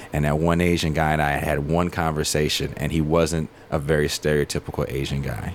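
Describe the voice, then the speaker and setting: Against noticeable background noise, a man with an American accent speaks in a monotone, with flat intonation. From Richmond, California. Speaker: touring band musician. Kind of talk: casual interview chat.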